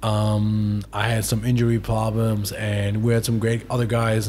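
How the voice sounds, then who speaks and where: In a German accent, a man talks at a moderate pace with a fairly low pitch and monotone, flat intonation. His voice is somewhat breathy, with light background noise. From Germany. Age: 20s. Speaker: professional footballer; podcast guest. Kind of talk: interview. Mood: reflective, emotional recollection. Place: home room. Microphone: studio mic.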